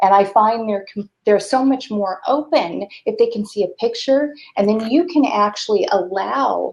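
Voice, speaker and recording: A woman with a plain, everyday voice speaks at a fairly slow pace, medium in pitch with ordinary pitch variation. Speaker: talk show host. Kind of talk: interview conversation.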